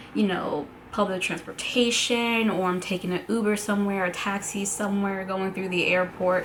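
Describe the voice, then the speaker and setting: A woman at medium pitch with an American accent, flat and monotone, hardly pausing, amid noticeable background noise and audible room echo. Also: moderate pace. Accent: American accent noticed by people abroad. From New York City, Brooklyn and Staten Island. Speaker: travel blogger. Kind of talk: casual vlog talk. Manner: casual, filler-heavy.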